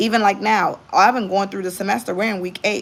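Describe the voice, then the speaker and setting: At a fairly quick pace, a woman talks. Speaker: vlogger and part-time professor. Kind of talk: casual vlog monologue. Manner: fast.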